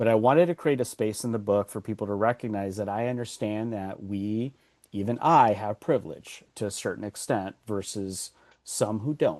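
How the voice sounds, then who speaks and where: Over a quiet background, a man with a fairly low pitch talks at a moderate pace with ordinary pitch variation. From Los Angeles, US. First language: Spanish. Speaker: author and workshop consultant. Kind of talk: podcast interview. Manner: halting, with many repeated words.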